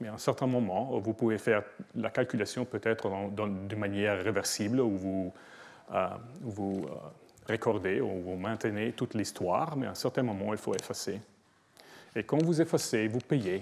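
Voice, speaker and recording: A man's fairly low voice with a non-native accent, ordinary pitch variation, and long, frequent pauses. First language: not French (speaking French). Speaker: professor. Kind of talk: lecture. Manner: slow; halting, many hesitations.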